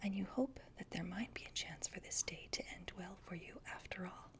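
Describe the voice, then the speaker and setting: A woman whispering at a fairly slow pace. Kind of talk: ASMR role-play book reading. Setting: home recording with a cat in the background. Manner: soft-spoken, whispered.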